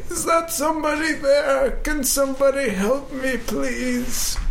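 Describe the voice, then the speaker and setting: Over clear background noise, a put-on character voice goes at a fairly slow pace. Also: man, extremely high pitch for a man. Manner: pleading.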